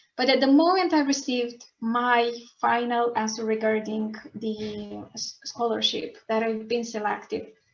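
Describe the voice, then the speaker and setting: A woman with a high pitch and ordinary pitch variation talks while music plays in the background. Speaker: scholarship student. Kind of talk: online panel talk. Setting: video call. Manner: halting.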